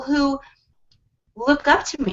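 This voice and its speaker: A woman speaks in an animated tone at a high pitch. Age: 40s. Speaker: women's empowerment speaker. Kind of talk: casual chat. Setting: video call.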